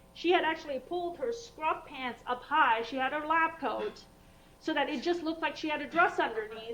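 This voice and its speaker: Amid audible room echo, a woman speaks high-pitched with lively intonation and a bright, sharp tone. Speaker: vascular surgeon. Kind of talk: lecture. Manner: fast; animated.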